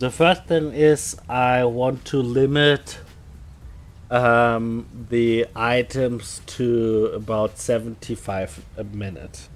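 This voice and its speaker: A man's medium-pitched voice, varying in pitch in an ordinary way, moves at a very slow pace. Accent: slight German. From Germany. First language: German. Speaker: game streamer. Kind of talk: live stream tutorial. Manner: halting, many fillers.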